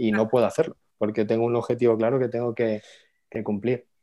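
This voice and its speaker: Delivered at a very fast pace, a man's medium-pitched voice carries a dark, mellow tone. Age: 30s. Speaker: finance educator and entrepreneur. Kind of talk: casual interview.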